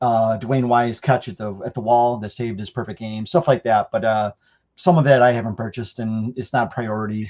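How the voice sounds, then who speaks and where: With an American accent, a man in a normal speaking voice talks at medium pitch and a moderate pace, with ordinary pitch variation and big swings in loudness. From Chicago. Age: 40s. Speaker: card collector and show host. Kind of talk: casual roundtable chat.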